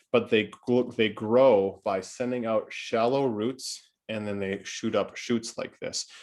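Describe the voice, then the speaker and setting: A man speaks at a fairly low pitch with ordinary pitch variation over a quiet background. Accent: American. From Wisconsin, Oshkosh area. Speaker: gardening podcast host. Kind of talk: casual podcast chat.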